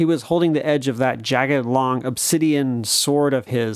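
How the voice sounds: The pitch shows ordinary variation. The reading voice is natural.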